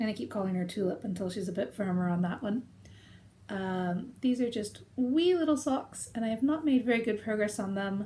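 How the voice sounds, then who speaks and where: A woman with an American accent speaks at a moderate pace, her pitch fairly high and her intonation lively. Her tone is dark and mellow, and somewhat breathy. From United States. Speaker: knitting video podcaster. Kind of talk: casual chat. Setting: conservatory, rain on thin roof.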